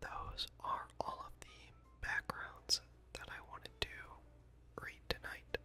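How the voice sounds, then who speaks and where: Whispering at a very slow pace, the speaker is heard over music in the background. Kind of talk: whispered ASMR reading of game hero backstories and esports predictions. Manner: whispered, soft-spoken.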